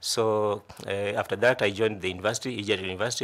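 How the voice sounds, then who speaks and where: A man with a Kenyan coastal accent and a fairly low pitch speaks at a fairly quick pace on a very clean recording with a silent background. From Kenya, Kilifi County (coast). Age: 40s. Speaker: job interview candidate. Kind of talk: formal interview presentation. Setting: selection panel interview. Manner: halting, many repetitions and fillers.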